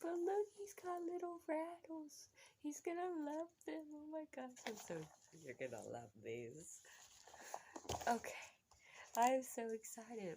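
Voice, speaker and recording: Quiet and with a dark, mellow tone, a woman speaks at a fairly slow pace with very wide pitch swings. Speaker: family vlogger, expectant mother. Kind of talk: casual unboxing vlog. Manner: animated, excited; hushed to avoid waking child.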